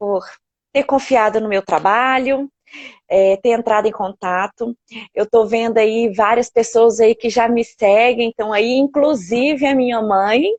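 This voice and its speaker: A woman talks in an ordinary speaking voice at a fairly slow pace. Her pitch is fairly high and her intonation fairly even. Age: 40s. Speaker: elderly caregiver. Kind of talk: live stream interview. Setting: online live stream.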